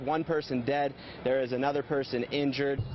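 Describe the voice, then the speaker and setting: With noticeable background noise behind him, a man talks at a fairly quick pace in a fairly high pitch. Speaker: TV news reporter. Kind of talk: TV news reporter package and stand-up.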